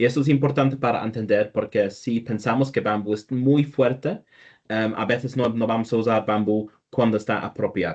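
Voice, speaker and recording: This man speaks at a medium pitch. His pace is moderate and his intonation fairly even. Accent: non-native. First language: not Spanish (speaking Spanish). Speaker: structural engineer. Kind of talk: technical presentation. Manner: halting with false starts.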